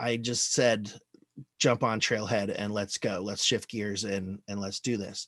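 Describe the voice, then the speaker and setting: Speaking at a fairly slow pace, a man keeps a fairly low pitch and a monotone, flat intonation. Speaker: Salesforce admin presenter. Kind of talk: presentation. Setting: video call. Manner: halting.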